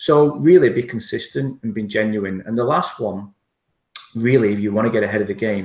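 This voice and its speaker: This man speaks at a moderate pace in a fairly low pitch. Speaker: internet marketer. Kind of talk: interview.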